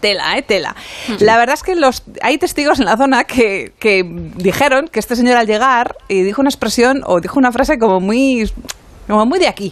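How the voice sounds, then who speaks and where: A woman's high-pitched voice with lively intonation at a moderate pace, over noticeable background noise. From Spanish Mediterranean coast. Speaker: radio co-host. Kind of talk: casual chat.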